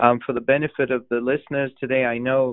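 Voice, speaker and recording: At a fairly quick pace, a man speaks with a medium pitch and a monotone, flat intonation. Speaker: low vision doctor, moderator. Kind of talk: town hall moderation. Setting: phone call.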